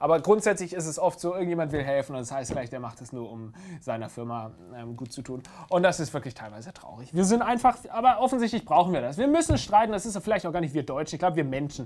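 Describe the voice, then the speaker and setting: Animated and very fast, a man talks at a fairly high pitch with very wide pitch swings and big swings in loudness. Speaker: YouTube show host. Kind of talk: casual Q&A show.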